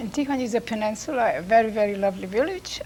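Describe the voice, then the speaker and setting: A woman speaks at a fairly quick pace with lively intonation and a fairly high pitch, over noticeable background noise. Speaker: immigrant telling life story. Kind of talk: family interview. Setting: recorded at a college.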